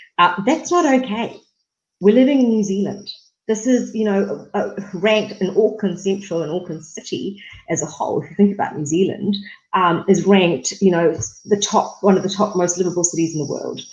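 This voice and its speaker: This woman has a medium pitch and a somewhat breathy voice. She talks at a fairly quick pace. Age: 30s. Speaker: political candidate. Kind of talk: interview. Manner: many fillers (um, uh).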